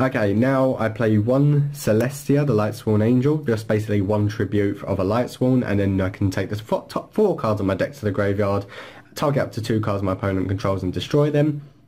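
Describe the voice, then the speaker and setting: This man talks at a fairly quick pace in a fairly low, somewhat breathy voice with ordinary pitch variation. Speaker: YouTuber presenting a card game deck. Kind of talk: deck profile tutorial. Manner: fast; hesitant, many fillers.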